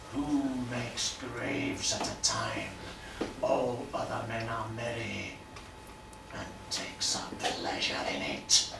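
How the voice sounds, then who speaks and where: A man whispers at a fairly slow pace in a put-on character voice. Loud background noise sits under a slight echo. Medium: stage play. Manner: stern, mocking.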